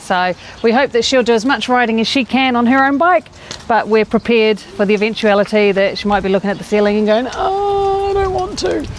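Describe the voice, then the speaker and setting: Over noticeable background noise, a woman with a New Zealand accent speaks at a fairly quick pace, her fairly high voice carrying lively intonation. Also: very even loudness. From New Zealand, Rotorua. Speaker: family cycling vlogger, parent. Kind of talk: casual chat.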